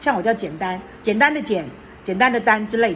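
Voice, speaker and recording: With audible room echo around her, a woman talks at a very fast pace and a fairly high pitch, her pitch swinging very widely. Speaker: retired teacher and public speaker. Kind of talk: interview.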